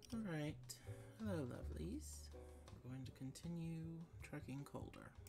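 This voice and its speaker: The speaker moves at a fairly slow pace while music plays clearly in the background. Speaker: gamer. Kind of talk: casual gameplay commentary. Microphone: studio mic.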